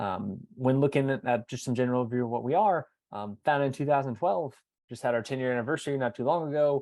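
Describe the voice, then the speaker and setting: Against a quiet background, a man talks at a very fast pace in a medium pitch, his tone dark and mellow with ordinary pitch variation. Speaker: admissions representative. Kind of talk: webinar presentation. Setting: video webinar. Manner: hesitant, many fillers.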